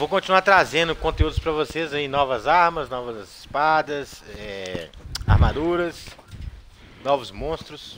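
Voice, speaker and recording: A fairly high-pitched man's voice with lively intonation at a fairly slow pace, amid noticeable background noise. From Brazil, Minas Gerais (Belo Horizonte). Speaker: gaming streamer. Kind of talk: live gameplay commentary. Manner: animated.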